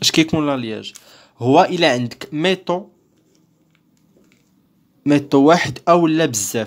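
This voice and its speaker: In a Moroccan accent, the speaker moves at a fairly slow pace with long, frequent pauses. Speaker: teacher. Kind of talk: lecture explanation.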